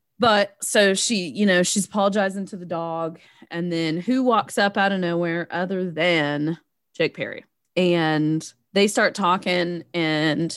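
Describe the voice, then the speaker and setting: The speaker talks at a fairly slow pace with a Southern US accent. The background is quiet. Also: woman. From Tennessee. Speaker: podcast co-host. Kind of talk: casual chat about movie.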